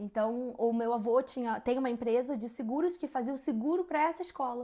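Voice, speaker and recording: This woman has a dark, mellow tone and a high pitch with ordinary pitch variation. She talks at a fairly quick pace, and the recording is very clean with a silent background. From Brazil, Rio de Janeiro. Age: 20s. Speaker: podcast co-host. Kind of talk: casual chat.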